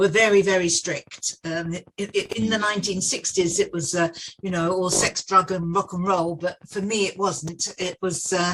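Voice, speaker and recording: Bright and sharp in tone, a woman with a southern English accent talks at a fairly slow pace in a medium pitch. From southeast England (Dartford, Kent). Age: 70s. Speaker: facilities management veteran. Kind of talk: podcast interview.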